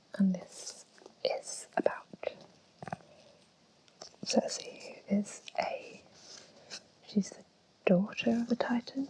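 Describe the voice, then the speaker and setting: Against noticeable background noise, a woman speaks at a very slow pace with long, frequent pauses and big swings in loudness. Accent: English. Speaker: ASMR creator. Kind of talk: ASMR book collection talk. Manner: whispered, slow, soft-spoken.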